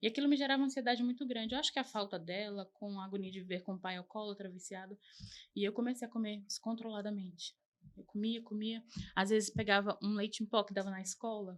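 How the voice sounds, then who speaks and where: Talking at a very fast pace, a woman keeps a medium pitch and fairly even intonation. Her loudness swings a lot. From Arapiraca, Alagoas, Brazil (born São Paulo). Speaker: podcast guest sharing life story. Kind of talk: interview testimony.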